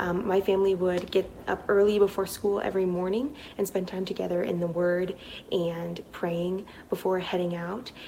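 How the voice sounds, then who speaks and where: A woman speaks with monotone, flat intonation. Noticeable background noise is present. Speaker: nurse, recent graduate. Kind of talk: testimony.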